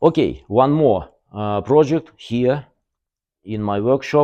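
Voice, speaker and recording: A man with a Russian accent, a dark, mellow tone and a very slow pace, against a quiet background. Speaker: car body workshop owner. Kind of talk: workshop tour video. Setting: workshop. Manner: halting, many fillers.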